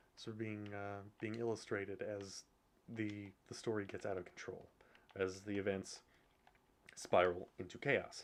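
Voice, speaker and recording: A man with a fairly low pitch speaks at a fairly slow pace. His intonation is monotone and flat. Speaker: video game streamer. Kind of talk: gameplay commentary. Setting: home with others sleeping nearby. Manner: halting.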